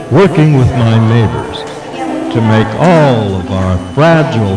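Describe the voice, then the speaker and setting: Over music in the background and audible room echo, a man speaks at a very slow pace with very wide pitch swings. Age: 70s. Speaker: gubernatorial candidate. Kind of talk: campaign speech. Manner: formal.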